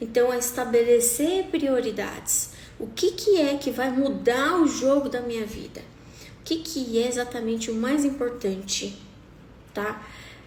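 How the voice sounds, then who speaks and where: A woman speaks fairly slowly with a high pitch. Audible room echo and noticeable background noise surround her voice. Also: ordinary pitch variation. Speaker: coach. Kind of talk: live talk. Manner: animated.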